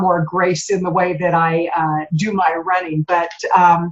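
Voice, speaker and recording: Medium-pitched female speech against clearly audible background noise. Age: 60s. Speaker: podcast interview host. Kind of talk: interview.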